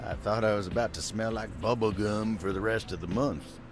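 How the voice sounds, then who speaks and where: Over loud background noise, a man does a gruff, put-on character voice, fairly low in pitch and fairly quick. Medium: video game. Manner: gruff, folksy.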